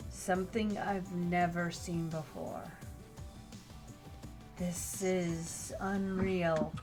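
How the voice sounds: Over clear music in the background, a soft-spoken woman uses a put-on character voice at a fairly low pitch and a very slow pace.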